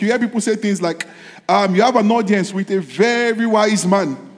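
Over noticeable background noise, a man with a high pitch talks in an animated tone at a fairly quick pace, with ordinary pitch variation. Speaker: pastor. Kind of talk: sermon; fervent prayer. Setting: church. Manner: animated, fervent, preaching with repeated exclamations.

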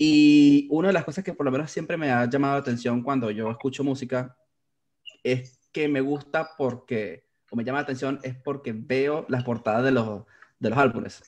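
A man with a Venezuelan accent, medium pitch and ordinary pitch variation, at a moderate pace. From Venezuela, Valencia (Carabobo). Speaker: graphic designer. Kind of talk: casual interview.

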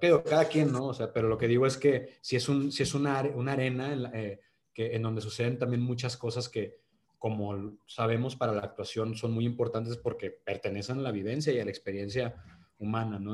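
A somewhat breathy male voice at a fairly quick pace, with fairly even intonation. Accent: Monterrey. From Monterrey, northern Mexico. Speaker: actor. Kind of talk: casual interview.

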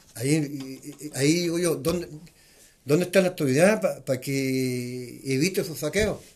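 Somewhat breathy and fairly high in pitch, a man's voice moves at a fairly slow pace with ordinary pitch variation. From Chile, northern nitrate pampas. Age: 70s. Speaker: neighborhood association leader. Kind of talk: interview. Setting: neighborhood association office.

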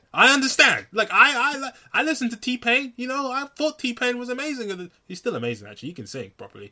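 A man speaks in a raised, projected voice at a very fast pace with hardly any pauses. His pitch is extremely high, with ordinary variation. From Nigeria. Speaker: podcast host. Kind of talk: casual chat. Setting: video call. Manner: animated.

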